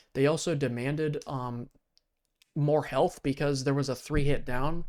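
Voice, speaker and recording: The recording is very clean, with a silent background. A man with a fairly high pitch speaks at a moderate pace with fairly even intonation. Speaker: gaming commentator reacting to a video. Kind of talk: casual reaction commentary. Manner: filler-heavy, halting.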